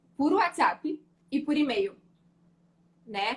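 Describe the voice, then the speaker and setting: A woman speaks with lively intonation. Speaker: labor lawyer. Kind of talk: live interview.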